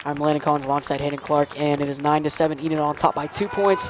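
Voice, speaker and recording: Speaking very fast with an American accent, a man has a fairly high pitch, and noticeable background noise is present. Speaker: play-by-play sports commentator. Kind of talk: live commentary.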